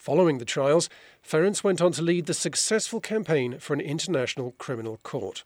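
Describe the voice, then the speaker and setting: Here a man uses an ordinary speaking voice with a fairly high pitch. He keeps a moderate pace. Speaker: podcast host. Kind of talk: news reading.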